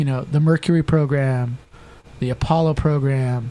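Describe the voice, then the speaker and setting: A man with an American accent, fairly high in pitch, at a moderate pace with ordinary pitch variation. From Southern California. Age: 50s. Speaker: political candidate. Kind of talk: political debate. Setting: studio. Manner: animated.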